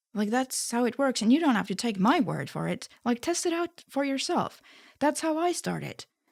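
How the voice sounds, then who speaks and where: A woman's high-pitched voice with an Estonian accent, lively intonation and a moderate pace, dry and close with no echo, on a very clean recording with a silent background. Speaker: spirituality YouTuber. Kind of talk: casual monologue. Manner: soft-spoken.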